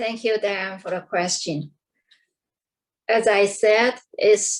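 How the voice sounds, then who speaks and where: A woman of medium pitch with a non-native accent. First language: not English. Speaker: Toastmasters protégé. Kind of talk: panel discussion. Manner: halting.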